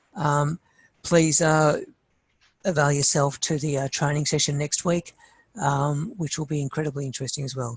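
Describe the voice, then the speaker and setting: Speaking in an Australian accent, a man has a somewhat breathy voice at a fairly high pitch. His intonation is monotone and flat, at a moderate pace. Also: very clean recording, silent background. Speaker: site planning trainer. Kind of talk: workshop training session. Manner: halting, many fillers.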